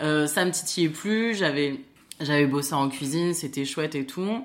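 Audible room echo surrounds a woman speaking at a fairly slow pace with lively intonation. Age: 30s. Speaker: nurse turned trainer. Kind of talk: casual chat. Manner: hesitant, many fillers.

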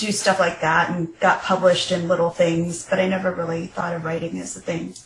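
Through noticeable background noise, a woman with a fairly low pitch speaks at a moderate pace. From Nebraska, US Midwest. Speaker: novelist. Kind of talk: interview.

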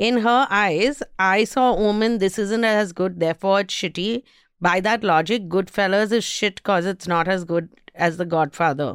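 In a very clean recording with a silent background, a woman with an Indian accent speaks at a moderate pace and medium pitch, with ordinary pitch variation. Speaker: podcast host, entertainment reviewer. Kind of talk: casual chat. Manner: laughs often.

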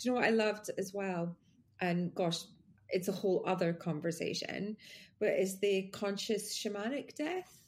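A woman's somewhat breathy voice at medium pitch, with ordinary pitch variation and a moderate pace. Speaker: podcast host. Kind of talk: casual conversation. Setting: video call.

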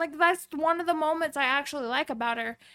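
A raised, projected voice with a bright, sharp tone and lively intonation comes through on a very clean recording with a silent background. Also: woman. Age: 20s. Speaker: podcast host's wife. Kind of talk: casual chat.

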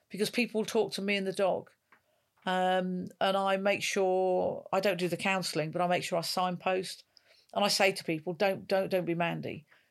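Speaking at a moderate pace and medium pitch, a woman keeps a monotone, flat intonation in a very clean recording with a silent background. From northwest England. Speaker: retired police officer. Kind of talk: interview.

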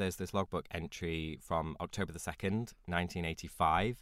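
On a very clean recording with a silent background, a man with a British accent speaks in a very deep, low voice. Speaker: podcast co-host. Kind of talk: casual chat.

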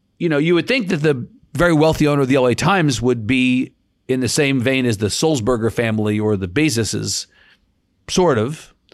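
A man's normal speaking voice at medium pitch, lively in intonation, very even in loudness and fairly quick in pace. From New York. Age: 50s. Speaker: news organization CEO. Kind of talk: interview. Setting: remote interview from home.

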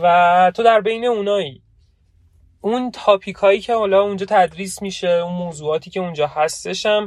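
Against a quiet background, a man with a high pitch talks at a moderate pace, his pitch varying an ordinary amount. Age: 20s. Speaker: podcast co-host, programmer. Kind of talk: casual chat. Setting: in a car. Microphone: phone recording.

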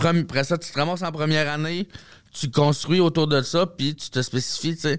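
An ordinary speaking voice at a fairly quick pace. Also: man, fairly high pitch for a man, fairly even intonation. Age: 30s. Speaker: comedian. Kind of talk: casual chat.

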